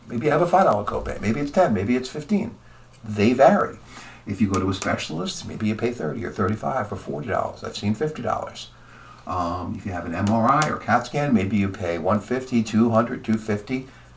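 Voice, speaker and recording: Amid noticeable background noise, a man talks at a fairly quick pace with medium pitch and lively intonation. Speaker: insurance agent. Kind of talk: tutorial. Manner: fast.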